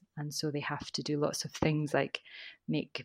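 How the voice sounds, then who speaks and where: In a Scottish accent, a woman speaks at a very deep, low pitch, recorded very cleanly with a silent background and a dry, close sound with no echo. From Scotland. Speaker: teacher trainer. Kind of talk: casual interview chat.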